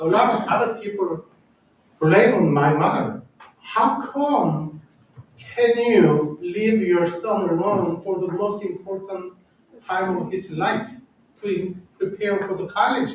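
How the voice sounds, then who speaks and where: In a Korean accent, a man speaks very slowly with long, frequent pauses, his high voice showing ordinary pitch variation amid audible room echo. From South Korea. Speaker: church organist. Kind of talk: personal testimony talk. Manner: halting.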